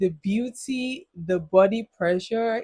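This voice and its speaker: A somewhat breathy woman's voice in a dry, close sound with no echo. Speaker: youth advice vlogger. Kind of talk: casual monologue. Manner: halting.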